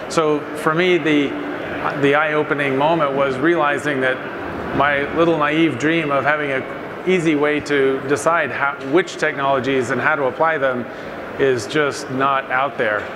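A man at a moderate pace, with fairly even intonation, very even loudness and noticeable background noise. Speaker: panel moderator. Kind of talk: panel discussion remarks. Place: stage.

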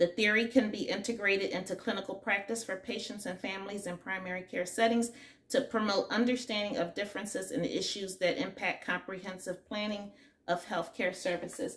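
A woman speaks at a fairly quick pace. Her intonation is fairly even. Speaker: nursing student vlogger. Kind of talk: casual vlog chat. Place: home room. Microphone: phone near.

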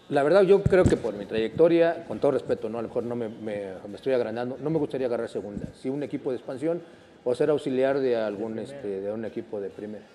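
Lively in intonation and fairly quick in pace, a man speaks over light background noise. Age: 50s. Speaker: former footballer; guest. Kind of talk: casual chat. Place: studio. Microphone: lapel.

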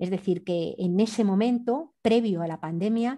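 A woman's medium-pitched voice with ordinary pitch variation and a dark, mellow tone. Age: 50s. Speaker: anthropologist and environmental activist. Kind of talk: interview. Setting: remote call. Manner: halting.

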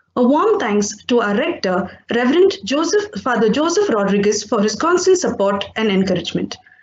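In a room with audible echo, a woman speaks at a fairly high pitch with very wide pitch swings. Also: moderate pace, hardly any pauses. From India. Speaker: teacher. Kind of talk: vote of thanks. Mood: polite, grateful. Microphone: webcam.

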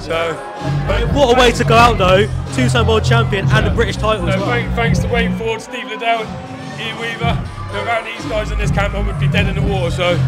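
Over loud background music, a man talks at a fairly quick pace. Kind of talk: interview answer. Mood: emotional, announcing retirement. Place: hall. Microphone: handheld.

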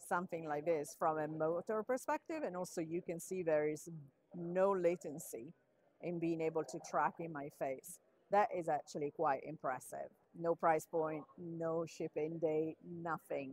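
This woman has a plain, everyday voice, pitched fairly low and delivered at a fairly slow pace. Her intonation stays fairly even, and the sound is dry with no echo. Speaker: tech reviewer. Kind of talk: casual tech demo commentary. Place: hall.

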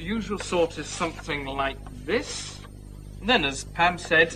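A man talks over music in the background. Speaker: visiting teacher character in a drama. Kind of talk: scripted classroom lesson. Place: classroom.

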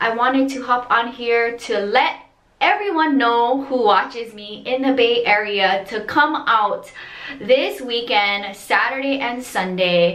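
A woman speaks in a high pitch, with audible room echo around her voice. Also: ordinary pitch variation, fairly slow pace. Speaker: resin art vlogger. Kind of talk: casual vlog chat. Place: bathroom. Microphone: phone near.

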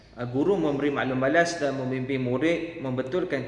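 Amid noticeable background noise and audible room echo, a man talks at a fairly quick pace with fairly even intonation. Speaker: teacher trainee. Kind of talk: tutorial. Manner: halting with frequent fillers.

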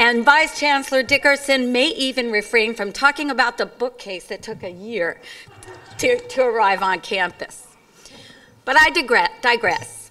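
High-pitched woman's voice with ordinary pitch variation, a moderate pace, and long, frequent pauses. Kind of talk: formal speech. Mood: light, humorous. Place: stage. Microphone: podium.

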